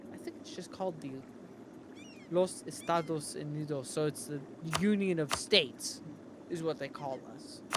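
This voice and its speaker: With an American accent, a man talks with ordinary pitch variation and big swings in loudness. His long, frequent pauses sit over noticeable background noise. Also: fairly high pitch for a man, moderate pace. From US, Connecticut. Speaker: gaming streamer. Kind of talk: casual chat.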